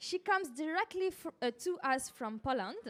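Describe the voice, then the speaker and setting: A woman with a strong French accent speaks at an extremely high pitch with lively intonation and a fairly slow pace, in a dry, close sound with no echo. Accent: heavy French. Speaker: journalist, panel moderator. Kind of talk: panel discussion moderation. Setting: live-streamed panel event.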